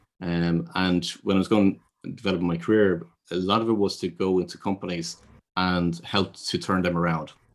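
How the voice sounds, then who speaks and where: On a very clean recording with a silent background, a man with a Dublin accent talks fairly quickly in a very deep, low voice. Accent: Irish (Dublin). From Ireland. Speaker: business consultant and intuitive advisor. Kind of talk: interview. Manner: hesitant, with fillers and repeated words.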